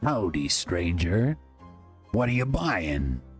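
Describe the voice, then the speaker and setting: Over clear music in the background, a man in a put-on character voice speaks at a very slow pace with a very deep, low pitch. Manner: welcoming, gruff salesman.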